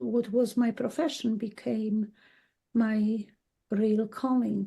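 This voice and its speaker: Somewhat breathy and dark, mellow in tone, a woman speaks very slowly at a fairly high pitch. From Poland. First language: Polish. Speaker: dowser and healer. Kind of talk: interview. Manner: halting.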